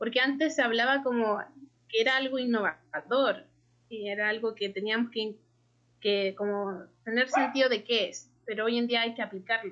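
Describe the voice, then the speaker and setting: In a normal speaking voice, a woman talks at a fairly high pitch and moderate pace with fairly even intonation. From Chile. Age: 20s. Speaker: graphic designer. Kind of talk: casual interview.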